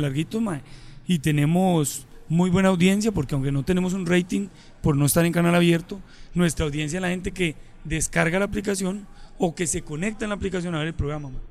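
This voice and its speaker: High-pitched for a man, this male voice moves at a fairly quick pace. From Colombia, Medellín. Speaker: comedian and radio host. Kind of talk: casual chat.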